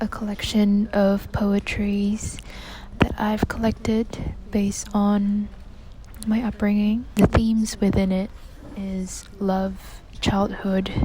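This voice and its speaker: A woman whispers very slowly while noticeable background noise carries on behind her. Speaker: vlogger and aspiring poet. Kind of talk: casual vlog monologue. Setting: library; at home. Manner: whispering in library.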